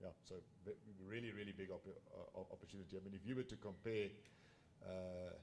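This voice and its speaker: A man with a South African accent, fairly low pitch and fairly even intonation. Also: fairly quick pace. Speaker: business executive. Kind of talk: panel discussion. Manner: loud.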